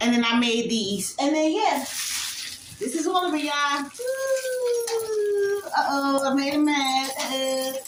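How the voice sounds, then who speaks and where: Loud and high-pitched, a woman speaks with very wide pitch swings amid audible room echo. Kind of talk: casual show-and-tell vlog.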